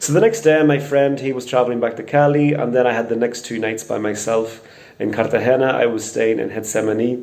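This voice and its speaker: Over noticeable background noise, a man at medium pitch talks at a fairly quick pace with fairly even intonation. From Northern Ireland, Portadown. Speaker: crime victim interviewee. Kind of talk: testimony.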